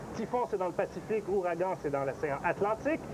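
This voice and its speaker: Lively rises and falls in the voice, with clear noise in the background. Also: man. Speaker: weather TV host. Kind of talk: live TV broadcast. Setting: outdoor festival site.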